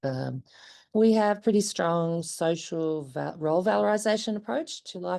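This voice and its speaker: Speaking in an Australian accent, a woman with a very deep, low pitch and a dark, mellow tone moves at a fairly slow pace with lively intonation. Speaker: parent of a patient. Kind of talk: conference presentation.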